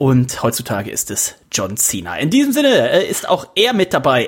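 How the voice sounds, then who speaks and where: A male voice is heard. Its pitch swings very widely. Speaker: podcast host. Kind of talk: casual banter. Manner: joking.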